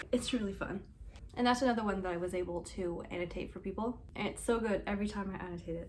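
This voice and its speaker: A woman of medium pitch talks at a very fast pace with audible room echo. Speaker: booktuber. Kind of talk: casual book review vlog. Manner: animated.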